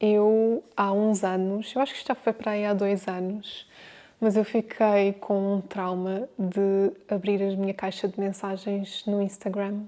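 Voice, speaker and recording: A woman's dark, mellow voice at a medium pitch, with flat, monotone intonation. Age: 30s. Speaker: home organisation content creator. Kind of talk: casual talk to camera.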